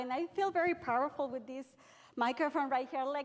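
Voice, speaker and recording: With a Mexican accent, a woman with a high-pitched voice speaks at a fairly quick pace with lively intonation over noticeable background noise. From Mexico. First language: Spanish. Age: 40s. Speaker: real estate agent, association president. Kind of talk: speech at a conference. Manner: passionate.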